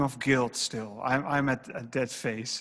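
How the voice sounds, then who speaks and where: A man speaks with a Dutch accent at a moderate pace. His pitch shows ordinary variation. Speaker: interviewer. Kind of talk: author interview. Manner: halting.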